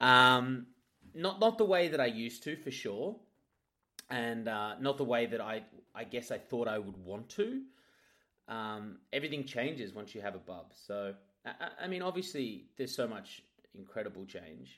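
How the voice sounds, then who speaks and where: A man with an Australian accent, medium pitch, bright, sharp tone, lively intonation, big swings in loudness, moderate pace, long, frequent pauses, and a very clean recording with a silent background. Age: 30s. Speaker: radio host. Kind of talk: casual chat.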